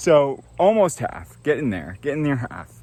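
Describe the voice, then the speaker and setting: The speaker is a man. He talks at a moderate pace. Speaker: travel vlogger, hiker. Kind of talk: vlog narration while hiking. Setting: outdoors on a mountain trail.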